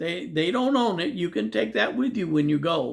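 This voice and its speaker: A man with an American accent speaks at a high pitch with very wide pitch swings. The recording is very clean, with a silent background. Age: 70s. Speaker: YouTuber giving expat advice. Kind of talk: casual monologue. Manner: rambling, repeats words.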